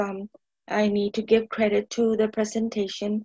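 With a dry, close sound and no echo, a woman with an American accent speaks at a moderate pace and a fairly high pitch. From Tucson, Arizona. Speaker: neighborhood resident and advocate. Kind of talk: podcast interview discussion.

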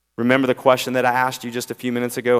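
A man speaks with a slight Southern US accent. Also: very clean recording, silent background. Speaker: preacher. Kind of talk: sermon. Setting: church.

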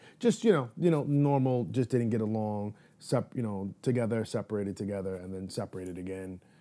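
A man speaks with a New York accent in a fairly low voice with a dark, mellow tone. His pace is fairly quick, with hardly any pauses and ordinary pitch variation. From New York City, Manhattan. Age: 30s. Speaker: guest sharing life story. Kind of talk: interview. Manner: casual, frequent fillers.

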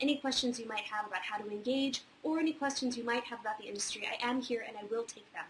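Speaking at a fairly quick pace in an American accent, a woman keeps a high pitch and fairly even intonation. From Virginia, near Charlottesville. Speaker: theater industry advisor hosting weekly Q&A. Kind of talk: casual advice livestream. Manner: many fillers (um, uh).

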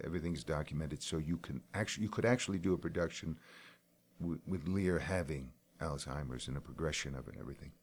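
The voice carries vocal fry along with ordinary pitch variation. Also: man. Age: 60s. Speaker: stage and screen actor. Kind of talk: interview.

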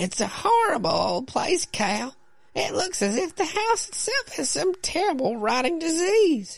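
A put-on character voice moves at a moderate pace with very wide pitch swings. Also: man, extremely high pitch for a man. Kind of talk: comic falsetto play-acting by a man. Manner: nagging, uneasy.

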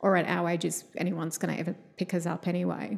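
With an Australian accent, a woman speaks at a fairly low pitch and a fairly quick pace. Her vocal fry comes through, and her intonation stays fairly even. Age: 40s. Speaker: visual artist and PhD student. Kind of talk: casual interview.

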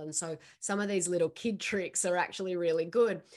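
With a quiet background, a woman with a normal speaking voice and fairly low pitch speaks at a moderate pace with ordinary pitch variation. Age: 40s. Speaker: holistic nutrition practitioner. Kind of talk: interview. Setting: video call.

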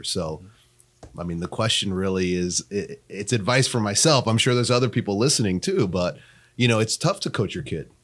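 An ordinary speaking voice with lively intonation moves at a fairly quick pace in a very clean recording with a silent background. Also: man. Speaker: podcast host. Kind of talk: casual interview.

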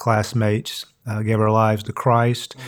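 A man's medium-pitched voice in a flat monotone. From Eastern Kentucky. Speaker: seminary professor. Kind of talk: casual interview conversation. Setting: studio.

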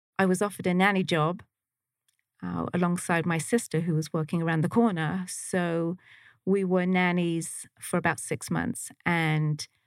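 A woman with a southeast England accent and fairly low pitch, at a fairly slow pace, in a very clean, dry, close recording with a silent background and no echo. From Slough, near London, England. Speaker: trauma recovery practitioner. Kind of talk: casual interview chat.

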